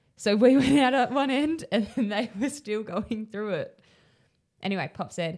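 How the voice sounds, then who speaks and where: In an Australian accent, a woman speaks at a moderate pace with lively intonation. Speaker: podcast co-host. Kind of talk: casual chat.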